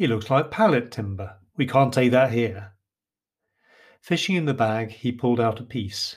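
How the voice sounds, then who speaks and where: A somewhat breathy man with an English accent, medium pitch and ordinary pitch variation, at a moderate pace, on a very clean recording with a silent background. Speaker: author and podcaster. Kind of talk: storytelling narration.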